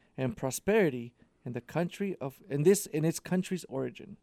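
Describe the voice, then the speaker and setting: A man's dark, mellow voice in a dry, close sound with no echo. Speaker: radio show producer. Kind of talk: casual radio banter and trivia quiz. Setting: radio studio.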